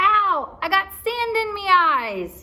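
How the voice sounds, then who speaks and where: Squeaky and whiny, a woman's put-on character voice sits at an extremely high pitch. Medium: read story. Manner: whining.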